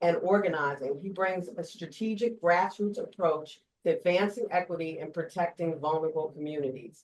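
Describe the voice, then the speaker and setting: In a New Jersey accent, a woman speaks with a fairly low pitch at a moderate pace. Her intonation is lively. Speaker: panel moderator. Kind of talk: reading speaker bios aloud; panel moderation.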